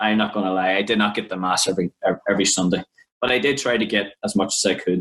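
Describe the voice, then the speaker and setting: Speaking at a fairly quick pace, a man with an Irish accent has a fairly low pitch. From Ireland. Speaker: podcast co-host, youth minister. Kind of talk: personal testimony.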